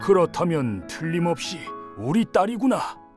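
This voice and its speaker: Over clear music in the background, a man does a put-on character voice that is shaky and high-pitched, swinging very widely in pitch at a moderate pace. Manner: emotional, tender.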